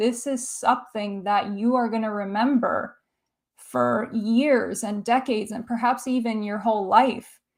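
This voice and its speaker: A fairly slow, monotone woman's voice, fairly high in pitch, in a Canadian accent, on a very clean recording with a silent background. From Canada. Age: 30s. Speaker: film YouTuber. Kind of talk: livestream chat reading viewer comments. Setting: livestream.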